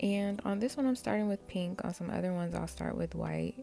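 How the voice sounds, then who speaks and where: Music plays behind a woman who talks at a medium speed. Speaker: amateur nail tutorial creator. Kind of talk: casual tutorial voice-over.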